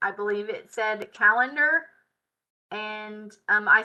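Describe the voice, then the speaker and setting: In a Southern US accent, a woman speaks at a very slow pace with a fairly high pitch. Her tone is bright and sharp, and the background is quiet. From US South. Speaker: software tutorial instructor. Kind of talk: live tutorial. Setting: live stream. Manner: casual. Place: home room. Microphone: webcam.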